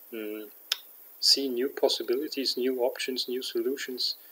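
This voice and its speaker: The pace is very slow. The speaker has a German accent. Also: man. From Germany. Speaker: vlogger and aspiring coach; aspiring coach. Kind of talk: vlog monologue. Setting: at home at night. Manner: halting, many fillers. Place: home room. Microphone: webcam.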